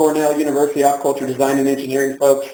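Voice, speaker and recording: Talking at a very fast clip, a man is heard with audible room echo. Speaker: nonprofit founder and speaker. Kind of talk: lecture. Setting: stage with audience.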